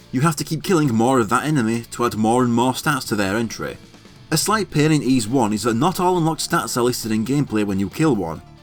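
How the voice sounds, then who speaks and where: Lively intonation at a very fast pace is heard with music in the background. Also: man, medium pitch for a man. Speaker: video game let's play narrator. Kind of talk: gameplay walkthrough narration.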